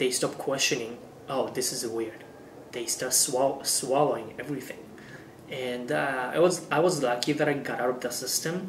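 A voice with a Japanese accent moves at a moderate pace with fairly even intonation. There is audible room echo and light background noise. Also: man. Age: 20s. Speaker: YouTuber. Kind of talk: vlog monologue. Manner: halting with fillers. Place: home room.

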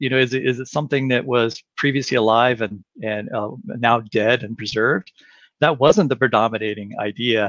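A man at a moderate pace with fairly even intonation, in a quiet background with a dry sound and no echo. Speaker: guest. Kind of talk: interview answer. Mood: thoughtful, explanatory. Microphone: headset.

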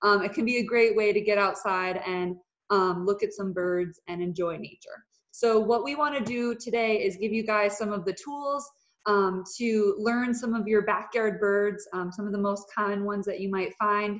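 A woman talks at a moderate pace with fairly even intonation, and the background is quiet. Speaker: presenter. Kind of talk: webinar presentation. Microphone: video call.

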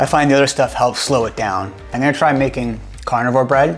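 A man's voice with fairly even intonation, faint music in the background. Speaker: home vlogger. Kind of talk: casual vlog chat. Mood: light, humorous. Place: home room. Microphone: lapel.

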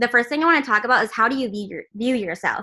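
A woman's high, bright, sharp voice with lively intonation against a quiet background. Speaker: team leader training. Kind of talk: training call. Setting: video call. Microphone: video call.

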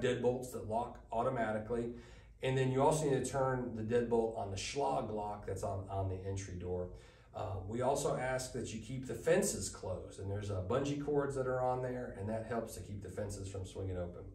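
Audible room echo hangs around speech delivered at a moderate pace. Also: man. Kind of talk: briefing presentation. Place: meeting room.

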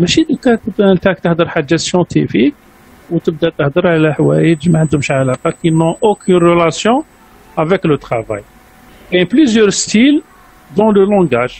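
The speech moves at a very slow pace but has lively intonation. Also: man. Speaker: university lecturer. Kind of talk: lecture. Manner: halting.

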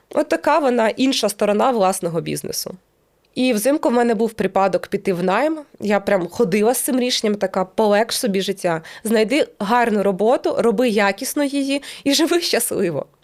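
On a very clean recording with a silent background, a woman speaks in an ordinary speaking voice at a moderate pace, her fairly high pitch carrying lively intonation at very even loudness. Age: 30s. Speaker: YouTuber and business owner. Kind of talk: casual monologue to camera.

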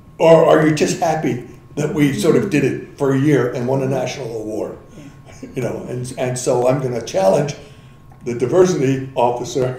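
A man talks at a moderate pace with ordinary pitch variation. Room echo is audible. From Philadelphia. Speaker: linguistics professor. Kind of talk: interview. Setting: in-person sit-down interview. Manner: animated. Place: meeting room. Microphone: camera far.

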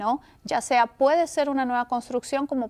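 The speaker is a woman. Her delivery moves at a moderate pace. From Peru. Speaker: real estate agent; guest. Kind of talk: interview. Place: studio.

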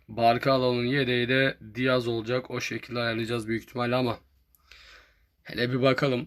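At a medium pitch, a man delivers his words at a moderate pace. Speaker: gaming youtuber. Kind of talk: gameplay commentary. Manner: animated.

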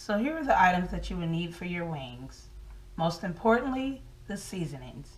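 A woman talks in a somewhat breathy voice. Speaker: home cook host. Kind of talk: tutorial. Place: kitchen.

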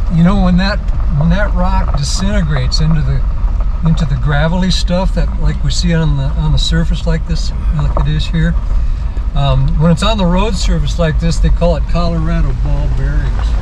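A man with a very deep, low voice speaks at a moderate pace with monotone, flat intonation and very even loudness. Noticeable background noise is present. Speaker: jeep tour guide driver. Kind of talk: tour guide commentary. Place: car.

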